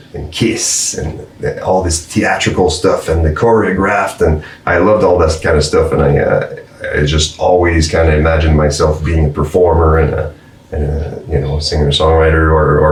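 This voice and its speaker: Very deep, low-pitched man's voice at a moderate pace, fairly even in intonation, with audible room echo and noticeable background noise. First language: French. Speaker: musician. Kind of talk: casual chat. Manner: halting.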